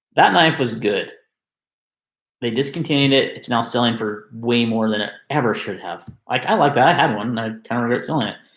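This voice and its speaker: Amid audible room echo, a man speaks at a fairly quick pace and medium pitch. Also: ordinary pitch variation. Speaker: knife enthusiast youtuber. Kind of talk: live stream rant. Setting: live stream on webcam. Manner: loud.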